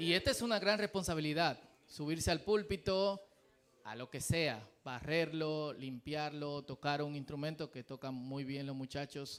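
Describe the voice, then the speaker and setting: Speaking at a fairly slow pace, a man with a Dominican accent has a fairly high pitch. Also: ordinary pitch variation. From Dominican Republic. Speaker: pastor. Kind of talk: sermon. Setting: church.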